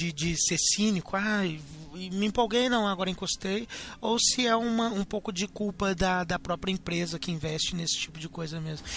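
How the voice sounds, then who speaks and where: This man speaks in a high voice. His pace is moderate. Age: 20s. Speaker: podcast host. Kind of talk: casual chat.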